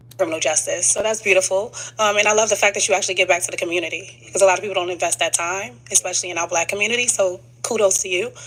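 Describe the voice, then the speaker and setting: Talking at a very fast pace, a woman with an American accent has a medium pitch, and noticeable background noise can be heard. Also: ordinary pitch variation. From New York. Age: 20s. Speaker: dating show contestant. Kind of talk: casual chat. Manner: loud.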